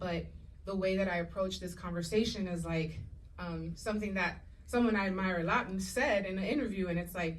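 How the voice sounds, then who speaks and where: Audible room echo surrounds a woman whose somewhat breathy voice moves at a fairly quick pace. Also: medium pitch for a woman. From Puerto Rico and Dominican Republic. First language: Spanish. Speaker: actress and showrunner. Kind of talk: panel discussion. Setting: stage with audience. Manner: animated.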